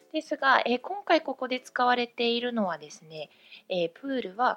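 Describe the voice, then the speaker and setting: A high-pitched woman's voice at a moderate pace, very wide pitch swings, dry and close with no echo. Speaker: English teacher. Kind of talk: tutorial. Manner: frequent filler hesitations.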